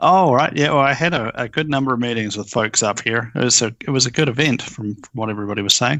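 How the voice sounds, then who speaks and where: A man with a New Zealand accent talks at a very fast pace. He leaves hardly any pauses and shows ordinary pitch variation. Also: medium pitch for a man. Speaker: software company founder. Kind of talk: casual chat.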